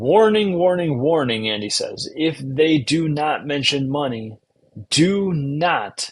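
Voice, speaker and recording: A man with an American accent speaks at a very slow pace. His voice has a fairly high pitch and lively intonation. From US Midwest, Chicago-Milwaukee area. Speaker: podcast host. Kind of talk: instructional talk summarizing a book. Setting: live stream. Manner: slow and enunciating.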